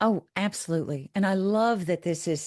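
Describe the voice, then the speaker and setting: Heard over a quiet background, an ordinary speaking voice moves at a moderate pace with ordinary pitch variation. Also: woman. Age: 60s. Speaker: professor. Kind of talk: casual chat.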